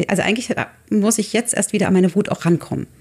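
A woman's somewhat breathy voice of medium pitch, dark and mellow in tone, with ordinary pitch variation. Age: 40s. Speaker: artist and photographer. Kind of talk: casual chat. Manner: halting.

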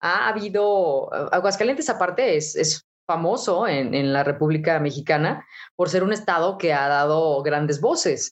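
With lively intonation and very even loudness, a woman speaks at a fairly slow pace and a fairly low pitch. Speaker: radio announcer. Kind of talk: interview.

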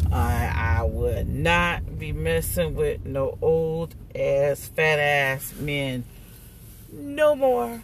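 At a very slow pace, a woman speaks with audible room echo around her. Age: 40s. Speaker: podcast host. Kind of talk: casual monologue. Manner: animated.

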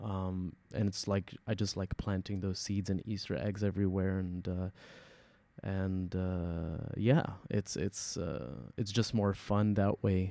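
A man with an Arabic accent speaks very slowly in a very deep, low voice with a dark, mellow tone. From UAE. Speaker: experimental hip-hop artist. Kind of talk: casual interview.

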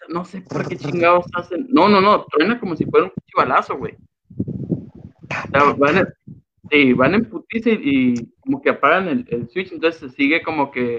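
A man's high, bright and sharp voice with very wide pitch swings. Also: fairly slow pace. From Sonora, Mexico. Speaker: comedian. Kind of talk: casual chat.

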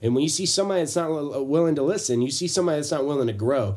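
A man's dark, mellow tone moves with ordinary pitch variation. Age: 30s. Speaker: podcast co-host. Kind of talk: casual chat.

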